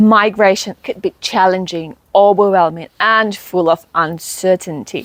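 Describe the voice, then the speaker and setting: A woman with a plain, everyday voice talks at a fairly slow pace and medium pitch with fairly even intonation and hardly any pauses, in a very clean recording with a silent background. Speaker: migration coach. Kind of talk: video intro to camera.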